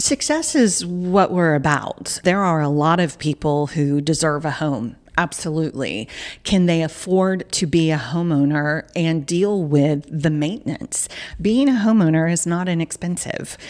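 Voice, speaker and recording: In a very clean recording with a silent background, a woman with a fairly low pitch and ordinary pitch variation speaks in a plain, everyday voice. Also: fairly slow pace. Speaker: nonprofit CEO. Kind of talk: casual interview. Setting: studio.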